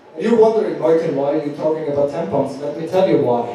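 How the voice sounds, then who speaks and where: Strong room echo and light background noise surround a man speaking with lively intonation. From Austria. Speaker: stand-up comedian. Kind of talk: live stand-up comedy set. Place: stage.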